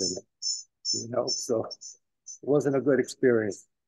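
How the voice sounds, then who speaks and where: Dry and close with no echo, a man with a New York accent speaks at a moderate pace with fairly even intonation. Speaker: community elder. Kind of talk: talk at a community celebration. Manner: halting, many fillers.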